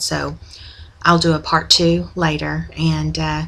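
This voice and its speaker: A strong Oklahoma accent over noticeable background noise. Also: woman. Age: 40s. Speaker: video blogger, former nurse. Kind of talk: personal video diary. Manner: hesitant, many ums.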